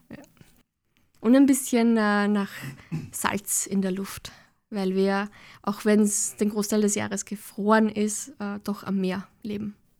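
Very slow and full of long, frequent pauses, the woman's medium-pitched voice shows big swings in loudness but fairly even intonation. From Austria, Lower Austria (Kirchau). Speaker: social anthropologist. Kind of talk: interview. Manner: hesitant, frequent fillers.

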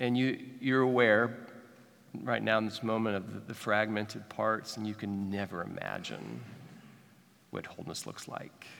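Audible room echo carries a man's fairly low voice in a Midwestern American accent as he talks at a moderate pace with fairly even intonation and long, frequent pauses. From Kansas City, Missouri. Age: 40s. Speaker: pastor. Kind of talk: sermon. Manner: halting, frequent repetitions.

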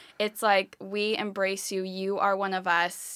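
A woman's medium-pitched, monotone voice with an American accent, in a very clean recording against a silent background. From California, rural. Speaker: nonprofit external affairs manager. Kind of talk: casual chat.

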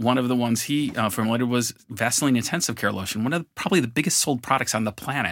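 On a very clean recording with a silent background, a man with a Western New York accent talks at a very fast pace. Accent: Western New York American. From US, Buffalo, New York. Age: 50s. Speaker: marketing executive and co-founder. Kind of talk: interview. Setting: studio.

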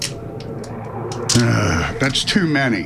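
Very wide pitch swings from a man, with music in the background. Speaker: radio host. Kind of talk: comedic radio show banter. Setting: radio broadcast studio.

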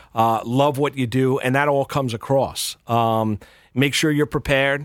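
A man with a New York accent talks at a medium pitch in a flat, monotone delivery, captured on a very clean recording with a silent background. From New York, Rockland County. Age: 40s. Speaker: sports radio and TV host. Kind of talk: casual interview. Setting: studio.

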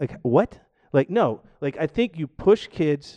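With very wide pitch swings, a man with an American accent has a dark, mellow tone, recorded dry and close with no echo against a quiet background. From US South, Georgia. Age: 40s. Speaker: podcast guest, aspiring podcaster and powerlifter. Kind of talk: casual chat. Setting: studio, live-streamed podcast.

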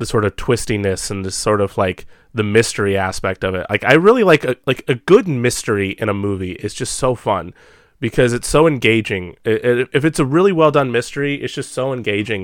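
A plain, everyday voice, a man's at medium pitch, talks at a fairly quick pace with lively intonation, dry and close with no echo, on a very clean recording with a silent background. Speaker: podcast host. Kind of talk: casual chat about films. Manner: rambling, filler-heavy.

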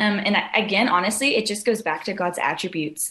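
This woman has an American accent and a medium pitch. Her pitch varies in an ordinary way. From Southern California. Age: 20s. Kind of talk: casual chat.

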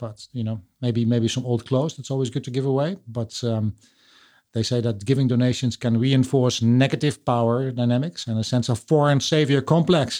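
At a moderate pace, a man with a Dutch accent and a dark, mellow tone speaks on a very clean recording with a silent background. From Netherlands. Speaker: podcast host. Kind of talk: casual interview chat. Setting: home studio.

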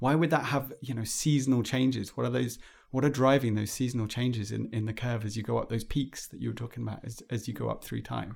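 Speaking at a very fast pace with hardly any pauses, a man talks in a British accent. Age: 40. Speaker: podcast host. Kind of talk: interview. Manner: halting, many fillers.

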